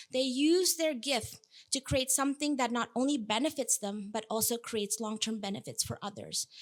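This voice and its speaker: Speaking at a moderate pace with an Indonesian accent, a woman with a fairly high pitch shows ordinary pitch variation on a very clean recording with a silent background. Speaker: food systems researcher, keynote speaker. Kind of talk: keynote talk.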